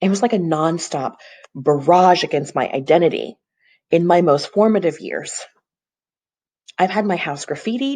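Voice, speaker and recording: A woman with an American accent speaks at a fairly low pitch and moderate pace, her tone dark and mellow, her intonation lively, with long, frequent pauses. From US South, Tennessee. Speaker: real estate agent. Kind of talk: personal video monologue. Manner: earnest, reflective.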